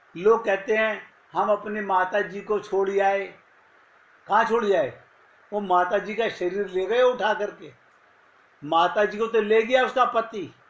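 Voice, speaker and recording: A man talks at a very slow pace in a high voice with fairly even intonation. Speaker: spiritual teacher. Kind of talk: spiritual discourse.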